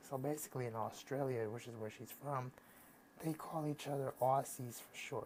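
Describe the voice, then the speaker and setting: Medium-pitched man with an American accent. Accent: American accent, noticeable to foreigners. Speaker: YouTuber. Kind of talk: casual vlog. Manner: halting, many fillers and restarts.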